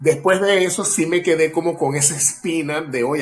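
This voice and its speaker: Music plays behind a fairly high-pitched man talking at a moderate pace with ordinary pitch variation. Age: 40s. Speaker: actor and acting teacher. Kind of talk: casual interview chat.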